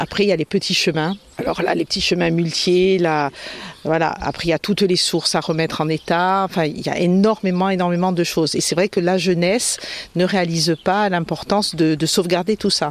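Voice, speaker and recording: Against noticeable background noise, a man speaks quickly enough in a high pitch, his intonation fairly even and his loudness very even. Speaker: heritage association president. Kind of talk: interview. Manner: hesitant, many fillers.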